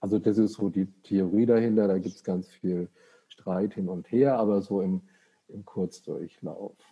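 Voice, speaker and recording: Talking in an ordinary speaking voice, a man keeps a fairly low pitch and fairly even intonation at a fairly slow pace, with big swings in loudness. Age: 60s. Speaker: psychiatrist. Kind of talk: casual chat.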